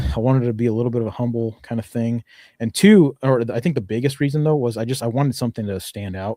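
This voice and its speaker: A man speaks very fast at a medium pitch in a dark, mellow tone. The recording is very clean, with a silent background. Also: ordinary pitch variation, dry, close sound with no echo. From Mexican-American family. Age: 30s. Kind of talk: podcast interview. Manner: casual, many fillers.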